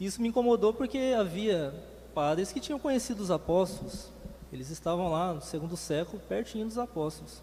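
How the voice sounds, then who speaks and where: This man speaks at a high pitch. His intonation is lively. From Brazil, Campinas, São Paulo. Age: 30s. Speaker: former pastor. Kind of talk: testimony. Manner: hesitant, many fillers.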